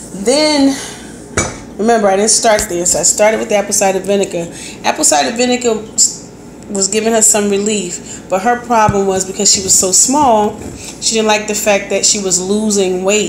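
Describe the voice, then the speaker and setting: Against noticeable background noise, a woman talks at a moderate pace with a medium pitch and ordinary pitch variation. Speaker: health vlogger. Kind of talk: casual talk to camera.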